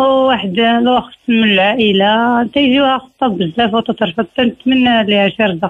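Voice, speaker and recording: A woman with a plain, everyday voice speaks at a fairly slow pace with hardly any pauses, fairly high pitch, ordinary pitch variation and very even loudness. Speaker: caller. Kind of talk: phone-in request for prayers.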